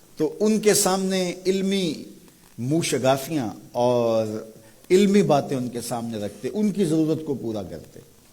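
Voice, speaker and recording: A man's dark, mellow voice, fairly high in pitch, with very wide swings in pitch. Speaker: Islamic scholar giving a sermon. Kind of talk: religious sermon (bayan).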